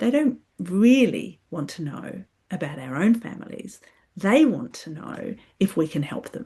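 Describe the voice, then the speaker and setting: A woman speaks at a fairly slow pace in a medium pitch, somewhat breathy, with big swings in loudness and very wide pitch swings. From UK. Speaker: psychologist and clinical supervisor. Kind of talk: podcast talk, explanatory. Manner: reflective, with frequent hesitations (um).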